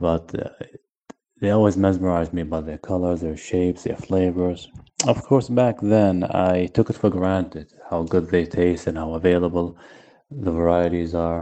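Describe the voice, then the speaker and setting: Very deep and low, a man's voice keeps fairly even intonation. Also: moderate pace. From Iraq. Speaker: seed collective member. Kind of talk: recorded testimony.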